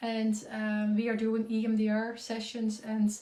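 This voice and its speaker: A woman with a Dutch accent speaks in a fairly high pitch with a dark, mellow tone, and the room echo is audible. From Netherlands. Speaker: concussion coach and community founder. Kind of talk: live Q&A. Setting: Instagram live stream. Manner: halting with many fillers.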